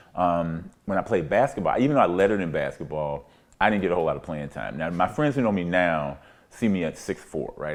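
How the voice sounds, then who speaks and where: The pace is fairly quick. A man speaks with a very deep, low pitch. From US South (Pine Bluff, Arkansas). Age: 60s. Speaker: community elder. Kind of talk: oral history interview. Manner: conversational, reflective.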